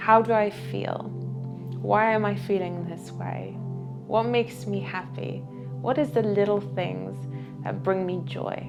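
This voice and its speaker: Soft-spoken, a woman talks at a fairly slow pace with long, frequent pauses as music plays in the background. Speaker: meditation guide. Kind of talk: soft-spoken motivational talk. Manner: soft-spoken, soothing.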